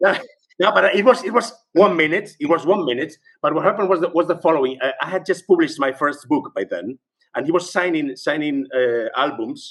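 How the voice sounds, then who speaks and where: This man speaks with a Spanish accent at a fairly quick pace. His pitch is high and his intonation lively. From Spain. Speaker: journalist and writer, music fan. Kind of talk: podcast interview. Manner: halting, many repetitions.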